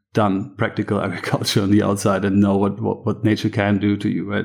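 A man talks in a fairly low pitch with a German accent. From Germany, east of Berlin. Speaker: farmer. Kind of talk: interview.

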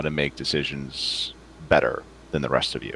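A man talks with a New York accent and vocal fry. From New York City. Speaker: novelist. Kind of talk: casual chat. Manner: halting.

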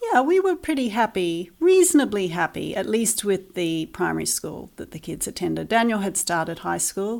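The speaker has a New Zealand accent and hardly any pauses. The recording is very clean, with a silent background. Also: woman, moderate pace. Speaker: parent of online school pupils. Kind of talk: interview.

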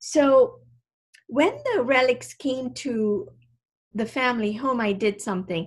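A woman's somewhat breathy voice at a fairly slow pace, with ordinary pitch variation. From Kenya, Indian community. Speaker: medical doctor and author. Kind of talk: interview.

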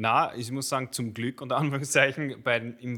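A man's bright, sharp voice with fairly even intonation. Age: 30s. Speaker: father of school children, colleague of host. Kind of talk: casual chat.

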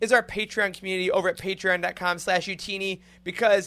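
A man's raised, projected voice with an American accent, bright and sharp in tone, at a moderate pace on a very clean recording with a silent background. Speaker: podcast host. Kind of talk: casual chat. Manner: animated.

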